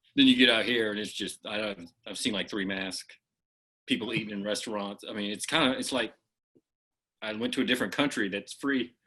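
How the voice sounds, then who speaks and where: A man with an American accent speaks at a fairly quick pace in a bright, sharp tone, his fairly low pitch moving with ordinary variation. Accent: Oklahoma accent, comes and goes. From Oklahoma. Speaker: comedian. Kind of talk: casual chat.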